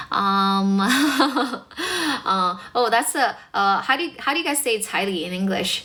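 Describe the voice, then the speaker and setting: Over noticeable background noise, a woman with a fairly high voice speaks at a very slow pace with very wide pitch swings and hardly any pauses. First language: Mandarin Chinese. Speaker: English teacher and livestreamer. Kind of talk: livestream chat with viewers. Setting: livestream. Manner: animated.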